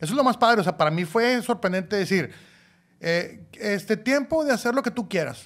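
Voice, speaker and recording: A man talks with lively intonation, keeping a moderate pace. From Mexico, Monclova (Coahuila); Coahuila, Mexico. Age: 40s. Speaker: podcast co-host, father; podcast co-host. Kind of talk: casual chat. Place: studio. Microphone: studio mic.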